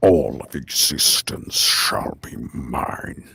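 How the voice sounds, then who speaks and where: A man puts on a raspy character voice with a very deep, low pitch. He speaks at a very slow pace in a menacing tone. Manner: menacing, commanding.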